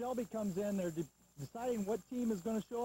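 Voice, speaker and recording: With a Midwestern American accent, a man talks at a very fast pace in a dark, mellow tone with lively intonation, the sound dry and close with no echo. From north central Ohio. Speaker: football color commentator. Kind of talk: pre-game sports commentary.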